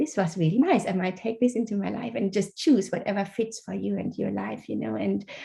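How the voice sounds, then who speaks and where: A woman speaks with a German accent at a fairly quick pace, her tone dark and mellow with vocal fry. The background is quiet. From Germany. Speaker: author. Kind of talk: interview.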